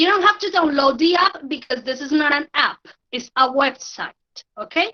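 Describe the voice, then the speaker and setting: A woman speaks with a Spanish accent. Her high-pitched voice shows ordinary pitch variation. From Colombia. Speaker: language teacher. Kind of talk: online tutorial. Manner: halting, with many fillers.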